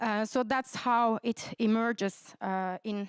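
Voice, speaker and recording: A woman speaks with a Turkish accent at a fairly high pitch. The sound is dry and close with no echo, in a very clean recording with a silent background. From Turkey. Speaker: researcher. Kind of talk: conference presentation. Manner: hesitant, many fillers.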